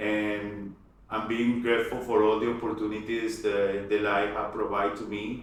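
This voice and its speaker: A man with a Spanish accent speaks at a moderate pace in a fairly low, monotone, flat voice. Noticeable background noise and audible room echo fill the recording. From Colombia, Cali. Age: 40s. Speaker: aerospace engineer. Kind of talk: interview conversation. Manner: halting, many repetitions.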